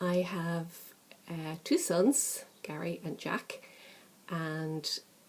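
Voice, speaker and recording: Speaking with an Irish accent, a woman uses a fairly low pitch and a dark, mellow tone. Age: 50s. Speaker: crafting vlogger. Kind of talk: casual chat. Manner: chatty, hesitant with many fillers.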